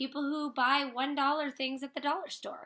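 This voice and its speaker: This woman uses a raised, projected voice. Her pitch is high and her tone bright and sharp. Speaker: makeup direct-sales consultant. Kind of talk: tutorial. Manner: fast. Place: home room. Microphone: webcam.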